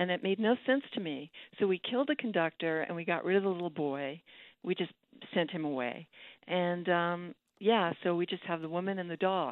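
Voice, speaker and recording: Speaking at a moderate pace with lively intonation, a woman uses a normal speaking voice with a fairly low pitch and an American accent. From New York City, Manhattan. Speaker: poet. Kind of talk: radio interview.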